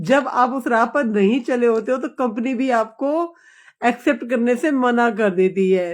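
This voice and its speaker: With a high pitch and ordinary pitch variation, a woman is talking. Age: 60s. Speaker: live streamer. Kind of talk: casual live chat with viewers. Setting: live stream.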